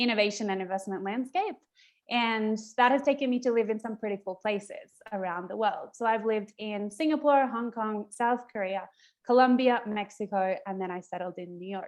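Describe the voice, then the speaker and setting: At a moderate pace, a woman speaks with a fairly high pitch, ordinary pitch variation, and big swings in loudness. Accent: Australian. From Australia. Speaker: event host. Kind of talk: virtual event introduction. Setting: video call.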